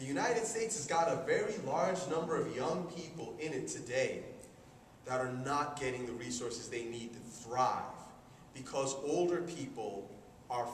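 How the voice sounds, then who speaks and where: The intonation is lively, with noticeable background noise and audible room echo. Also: man. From immigrant to the US. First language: not English. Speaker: speaker at a conference. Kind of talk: talk to an audience.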